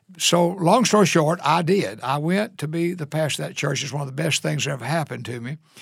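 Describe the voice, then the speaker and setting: Showing vocal fry, a man rattles along at a very fast pace with hardly any pauses. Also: fairly high pitch for a man, ordinary pitch variation. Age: 70s. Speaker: senior pastor. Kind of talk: interview. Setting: studio.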